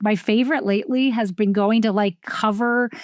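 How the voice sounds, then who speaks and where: A woman with a New Jersey accent and a fairly high pitch on a very clean recording with a silent background. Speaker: podcast host. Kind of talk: casual conversation.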